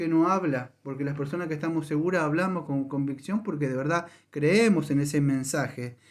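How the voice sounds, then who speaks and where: Speaking with hardly any pauses, a man has a fairly high pitch and ordinary pitch variation. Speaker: pastor. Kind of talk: sermon. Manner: fast.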